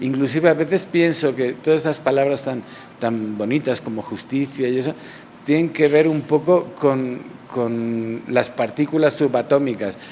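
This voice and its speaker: With a Barcelona accent, a man talks slowly-ish at a fairly high pitch, his pitch varying in an ordinary way amid noticeable background noise. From Barcelona, Spain. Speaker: realist painter. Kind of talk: interview answer. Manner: reflective, hesitant.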